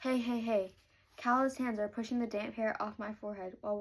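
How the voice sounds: Fairly even intonation in a natural reading voice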